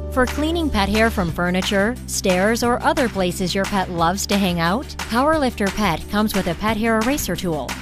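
With music in the background, a woman speaks with hardly any pauses and a very even loudness. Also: moderate pace. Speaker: voice-over artist. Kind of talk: product commercial read.

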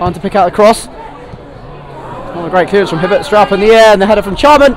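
Against crowd noise in the background, the voice has an animated tone at a fairly quick pace, with a dry sound and no echo. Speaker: football commentator. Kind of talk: live football commentary over match action; sports commentary. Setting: match highlights video with commentary. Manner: animated, rising excitement at chances. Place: stadium.

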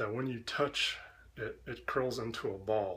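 At a fairly slow pace, a man speaks in a somewhat breathy voice with ordinary pitch variation. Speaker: vlogger. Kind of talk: casual vlog chat, answering a dialect quiz. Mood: wry, joking. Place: kitchen. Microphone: webcam.

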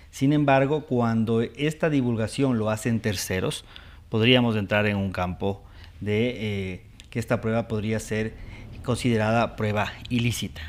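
A man is speaking. His pace is fairly slow and his pitch variation ordinary. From Ecuador, Latacunga (Andean highlands); Ecuador. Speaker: judge; TV show guest or host, lawyer. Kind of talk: TV interview. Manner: hesitant, many fillers. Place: studio. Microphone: lapel.

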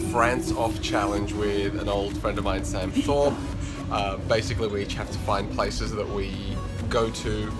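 A man talks at a moderate pace while loud music plays behind him. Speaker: travel vlogger. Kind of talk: casual vlog chat. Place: train. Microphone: phone near.

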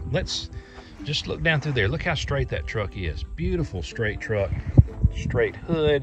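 Over clear music in the background, a man's voice comes through dry, with no echo. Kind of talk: casual vlog chat. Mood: proud, fond storytelling. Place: open country. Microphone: phone near.

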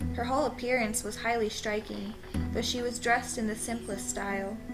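A woman speaks with music in the background. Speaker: amateur story narrator. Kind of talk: horror story reading.

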